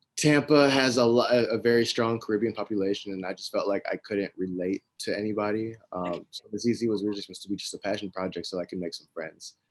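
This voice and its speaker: A man in a Texas accent talks at a very fast pace with hardly any pauses. His pitch is fairly low, and the sound is dry and close with no echo. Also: ordinary pitch variation, big swings in loudness. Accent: American, Texas. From US, Ohio and Dallas, Texas. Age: 20s. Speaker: fashion entrepreneur. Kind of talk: interview. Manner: casual, with fillers.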